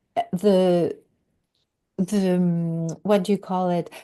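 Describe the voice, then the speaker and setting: Her tone dark and mellow, a woman at medium pitch speaks at a very slow pace. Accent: French. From Quebec. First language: French. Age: 50s. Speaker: podcast guest, recovery coach. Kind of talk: interview conversation. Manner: halting.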